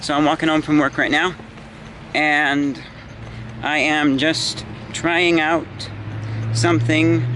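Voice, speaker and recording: Fairly high male voice with very even loudness, fairly even intonation and long, frequent pauses, over noticeable background noise. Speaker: YouTuber vlogging. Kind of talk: casual vlog. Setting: outdoors, walking home. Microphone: built-in camera mic.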